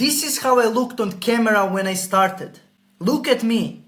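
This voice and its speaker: A man speaks with a Croatian accent. His tone is animated. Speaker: sales coach. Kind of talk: sales pitch.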